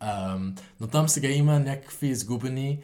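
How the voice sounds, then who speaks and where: A man's dark, mellow voice at a moderate pace, with lively intonation. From Netherlands, Utrecht. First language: Dutch (speaking Bulgarian). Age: 20s. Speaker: university student. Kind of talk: interview. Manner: halting.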